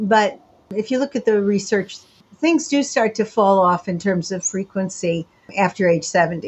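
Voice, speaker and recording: A woman's voice is medium in pitch and somewhat breathy. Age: 70s. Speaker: sexologist and sociologist. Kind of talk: interview. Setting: remote call from home.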